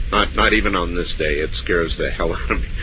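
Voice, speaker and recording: Amid noticeable background noise, a man with an American accent talks at a fairly quick pace. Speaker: radio host. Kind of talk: late-night call-in radio show.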